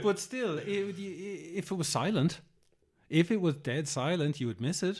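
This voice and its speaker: At a fairly slow pace, a man with an Irish accent speaks at a fairly high pitch, using lively intonation and vocal fry. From Ireland. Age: 40s. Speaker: green infrastructure educator and speaker. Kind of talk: interview answer.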